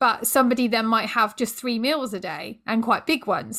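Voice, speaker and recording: A woman speaks in a plain, everyday voice, her pitch fairly high and her intonation fairly even. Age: 30s. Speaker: yoga coach and podcast host. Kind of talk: casual interview.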